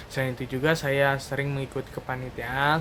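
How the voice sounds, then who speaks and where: The speech comes in a monotone, flat intonation over noticeable background noise. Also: man. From Indonesia, Karawang, West Java. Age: 20s. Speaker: fresh graduate job applicant. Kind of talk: video resume self-introduction.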